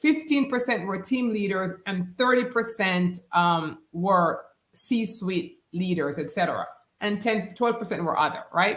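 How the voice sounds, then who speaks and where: With a Jamaican accent, a woman speaks at a fairly slow pace and medium pitch, her intonation lively. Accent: Jamaican, kept after 35 years in US. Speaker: business coach. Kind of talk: live stream talk. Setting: live stream.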